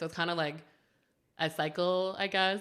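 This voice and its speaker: A woman with a Southern California accent, bright, sharp tone and fairly quick pace. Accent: Valley Girl. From Canada. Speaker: tattoo artist, podcast host. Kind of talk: casual chat. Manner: fast; bubbly, chatty.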